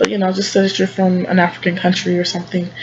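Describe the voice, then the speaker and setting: Over background music, a woman with an American accent speaks at a fairly quick pace in a fairly low pitch. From United States. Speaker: travel vlogger. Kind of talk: casual vlog monologue. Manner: fast; hesitant, many fillers.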